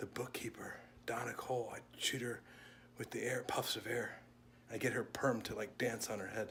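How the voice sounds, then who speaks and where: A man whispers at a moderate pace. Background noise is noticeable. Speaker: vlogger and wedding officiant, former youth minister. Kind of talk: casual vlog chat.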